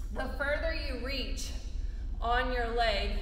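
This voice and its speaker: Audible room echo and light background noise around a woman's voice. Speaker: fitness instructor. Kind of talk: tutorial. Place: gym. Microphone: camera far.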